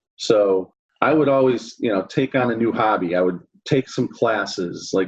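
A man with an American accent talks at a moderate pace and medium pitch, with ordinary pitch variation. He has an unremarkable speaking voice. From US Midwest, Chicago area. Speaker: accounting firm consultant. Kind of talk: interview.

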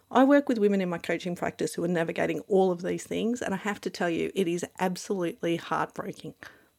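A woman talks at a very fast pace with hardly any pauses, her pitch fairly low and touched with vocal fry. Her tone is animated, with ordinary pitch variation. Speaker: life coach and podcast host. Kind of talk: scripted monologue.

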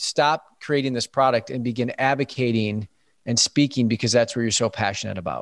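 A man speaks in an ordinary speaking voice with fairly even intonation. The sound is dry and close, with no echo. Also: quiet background. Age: 30s. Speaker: digital wellness coach. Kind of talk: interview.

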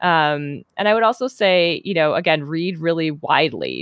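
Speaking in an American accent, a woman has an unremarkable speaking voice with a fairly low pitch and ordinary pitch variation. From Minnesota, US Midwest. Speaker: novelist. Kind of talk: interview.

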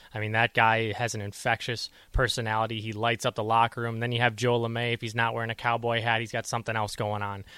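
A man with an American accent at a medium pitch, talking very fast with hardly any pauses, in a monotone, flat intonation and a bright, sharp tone, on a very clean recording with a silent background and a dry, close sound with no echo. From US Midwest (Chicago). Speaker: hockey play-by-play announcer. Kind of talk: radio interview. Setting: radio studio.

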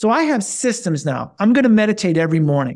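Animated and fairly quick, a man speaks at a high pitch with very wide pitch swings on a very clean recording with a silent background. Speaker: health coach and personal trainer. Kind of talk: casual interview.

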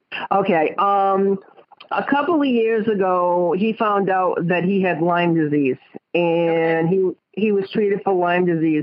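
In a Rhode Island accent, a woman speaks at a very even loudness. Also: medium pitch for a woman, ordinary pitch variation, fairly slow pace. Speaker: caller. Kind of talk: phone call to a psychic. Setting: phone call.

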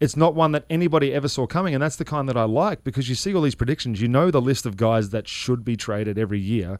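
With an Australian accent, a man talks fairly quickly. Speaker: former baseball player, fill-in radio guest. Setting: radio booth studio.

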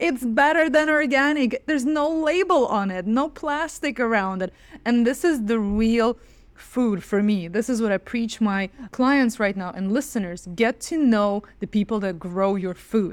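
Speaking fairly slowly with lively intonation, a woman with a Russian accent uses a fairly high pitch. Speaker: dietitian. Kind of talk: interview.

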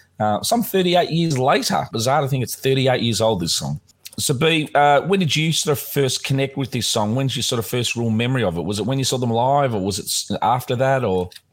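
A man with an Australian accent talks at a fairly quick pace with hardly any pauses. His pitch is medium and his intonation is lively. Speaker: podcast co-host. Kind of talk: casual chat. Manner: halting, many fillers.

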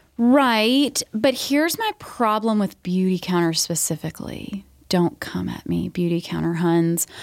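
A woman with an American accent and a normal speaking voice talks at a fairly slow pace and medium pitch, with lively intonation and hardly any pauses. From US South, Georgia. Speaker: nurse practitioner and podcast host. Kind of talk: casual interview chat. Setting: studio.

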